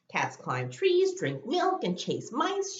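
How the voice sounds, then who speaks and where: A woman's put-on character voice, extremely high-pitched, at a fairly slow pace. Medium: read story. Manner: brisk, classroom-announcing.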